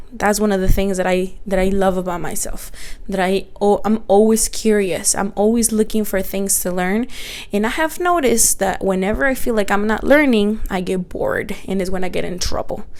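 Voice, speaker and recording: A woman in a Spanish accent, medium pitch, ordinary pitch variation and moderate pace. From Mexico, Guanajuato; moved to the US at twelve. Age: 30s. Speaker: podcaster and small business owner. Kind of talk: casual personal monologue. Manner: animated.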